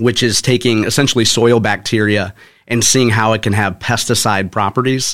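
This is an ordinary speaking voice with an American accent. It moves at a moderate pace with fairly even intonation. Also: man. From St. Louis area, Missouri (North County). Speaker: author and former corporate communications professional. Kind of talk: interview. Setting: studio.

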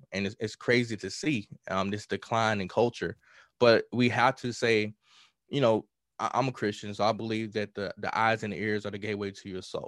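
Recorded dry and close with no echo over a silent background, a man with a Southern US accent talks at a moderate pace in a fairly low voice with fairly even intonation. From US South, rural Mississippi. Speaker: hip-hop artist. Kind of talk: podcast interview.

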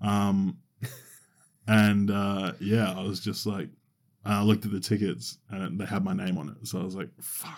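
A man speaks with an Australian accent at a moderate pace, his voice pitched fairly low. The recording is very clean with a silent background, though his loudness swings widely. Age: 20s. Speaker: podcast co-host. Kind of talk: casual chat. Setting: studio.

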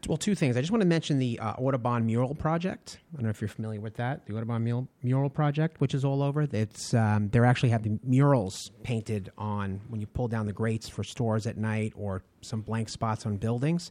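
Fairly quick American-accented speech from a man at a medium pitch, dark and mellow in tone, with ordinary pitch variation, hardly any pauses and a very clean recording with a silent background. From Long Island, New York. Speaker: tour guide and historian. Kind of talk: interview.

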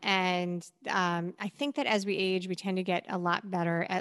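A woman talks at a moderate pace in an ordinary speaking voice of medium pitch. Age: 40s. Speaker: endurance athlete and podcaster. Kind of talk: casual chat.

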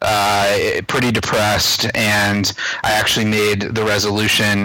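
Noticeable background noise around a man's fairly low-pitched voice. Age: 30s. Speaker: personal finance blogger and entrepreneur. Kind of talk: interview. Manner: frequent fillers and hesitations.

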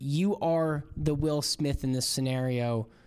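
On a very clean recording with a silent background, a man with an unremarkable speaking voice talks in a fairly high pitch with ordinary pitch variation. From Florida. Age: 30s. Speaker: podcast host. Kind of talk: interview; casual monologue.

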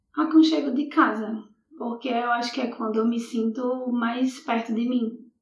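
A woman with a high voice talks fairly slowly, her intonation fairly even. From Brazil, Natal (Rio Grande do Norte). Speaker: poet. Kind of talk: casual interview.

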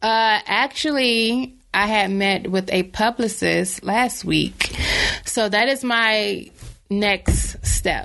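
Very slow speech in an American accent, with very even loudness and fairly even intonation. Noticeable background noise runs underneath. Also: woman, fairly high pitch for a woman. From North Carolina, Bertie County. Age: 20s. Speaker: author. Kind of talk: casual chat.

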